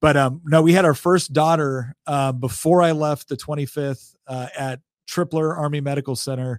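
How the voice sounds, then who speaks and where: In an ordinary speaking voice, a man talks at a moderate pace with a fairly high pitch, fairly even intonation and hardly any pauses, in a dry, close sound with no echo on a very clean recording with a silent background. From Northern California. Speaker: politician and military veteran. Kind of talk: casual chat.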